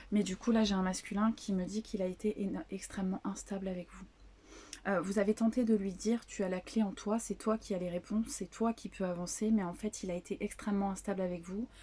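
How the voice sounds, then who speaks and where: Soft-spoken and somewhat breathy, a woman talks at a fairly quick pace with a medium pitch, a dark, mellow tone, and fairly even intonation. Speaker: psychic medium / tarot channeler. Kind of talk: spiritual channeling reading to viewers. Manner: hesitant, many fillers.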